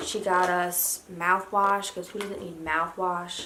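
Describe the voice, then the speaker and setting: A woman's bright, sharp tone at a moderate pace, with audible room echo. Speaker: lifestyle vlogger. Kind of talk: casual haul video. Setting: home, in pajamas. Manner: monotone.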